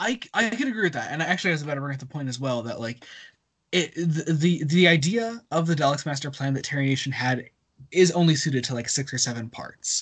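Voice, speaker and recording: Delivered at a very fast clip with lively intonation, the voice sits over a quiet background. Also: man, fairly high pitch for a man. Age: 20s. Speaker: podcast host. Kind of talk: casual chat. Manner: halting.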